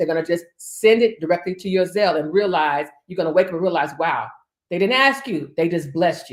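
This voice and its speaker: A woman with a fairly low pitch speaks at a fairly quick pace, her intonation lively and her loudness swinging widely. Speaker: preacher. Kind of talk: sermon. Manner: fast; animated.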